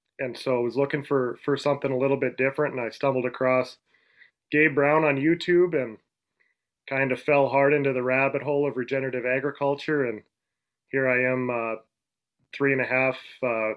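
A man with an Upper Midwest accent, medium in pitch, monotone and flat, fairly quick yet broken by long, frequent pauses. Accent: Upper Midwest American. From Western North Dakota. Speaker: rancher. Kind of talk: casual interview.

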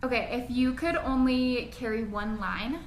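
A woman speaks with an American accent at a fairly high pitch and with fairly even intonation. Audible room echo and noticeable background noise are present. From Las Vegas, Nevada. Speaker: esthetician and podcast co-host. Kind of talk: casual chat.

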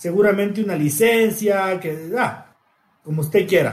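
Lively intonation marks a man's speech, his pitch high. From Ecuador, Quito highlands. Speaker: football podcast host. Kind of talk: casual chat.

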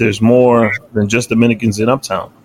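Here a man speaks with a New York accent. He keeps a moderate pace at a medium pitch. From New York City, Washington Heights. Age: 30s. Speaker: podcast host. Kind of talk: casual chat.

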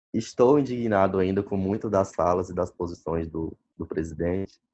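Fairly low in pitch with ordinary variation, a man speaks in a dark, mellow tone. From Brazil, Maranhão. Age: 20s. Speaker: doctor. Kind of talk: interview. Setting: phone call.

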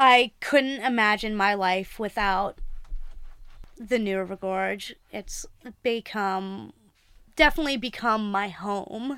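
Very slow speech in an American accent comes with a bright, sharp tone, ordinary pitch variation and long, frequent pauses. The recording is very clean with a silent background. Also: woman, fairly high pitch for a woman. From North Carolina (Greensboro). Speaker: professional climber and sales rep. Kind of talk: casual interview. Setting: outdoors at a campground.

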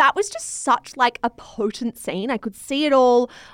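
With an Australian accent, a woman talks in a dry, close sound with no echo. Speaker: podcast host and media company co-founder. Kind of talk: casual book review chat.

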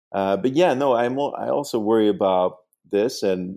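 A dark, mellow tone with a Dutch accent at a moderate pace, in a very clean recording with a silent background. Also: man. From Netherlands. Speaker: urban design professor and author. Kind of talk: interview. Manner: halting, frequent repetitions.

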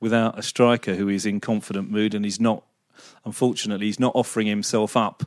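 With fairly even intonation and a moderate pace, this is an ordinary speaking voice. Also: man. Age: 50s. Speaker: football pundit. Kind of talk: casual chat.

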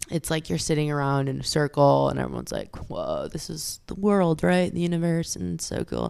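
A woman with a Californian accent at a fairly quick pace, with hardly any pauses. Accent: Californian American. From California, Fresno. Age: 30s. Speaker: actress in addiction recovery. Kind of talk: personal testimony interview. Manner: halting, with frequent fillers.

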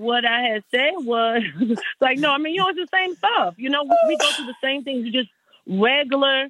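With lively intonation, a woman speaks in a high voice at a moderate pace. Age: 40s. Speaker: R&B singer. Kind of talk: interview. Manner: animated.

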